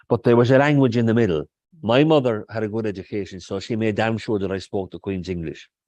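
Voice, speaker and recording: A man with a Kerry accent speaks at a very fast pace in a fairly low pitch with ordinary variation. The background is quiet. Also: dry, close sound with no echo. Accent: Kerry Irish. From Ireland, North Kerry. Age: 60s. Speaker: poet. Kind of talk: interview conversation. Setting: stage with audience.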